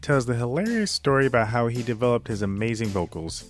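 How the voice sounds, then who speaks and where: Music plays in the background as a man speaks at a fairly quick pace. His intonation is lively. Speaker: podcast host, filmmaker. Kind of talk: podcast monologue. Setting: home recording, lower audio quality.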